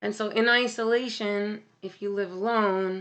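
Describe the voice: With a fairly bright tone, a woman talks at medium pitch and a fairly slow pace, her intonation fairly even.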